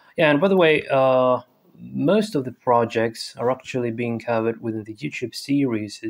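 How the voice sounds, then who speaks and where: Lively in his intonation, a man with a non-native accent talks at a medium pitch. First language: non-native English speaker. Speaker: programming YouTuber. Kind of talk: tutorial. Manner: hesitant, many fillers.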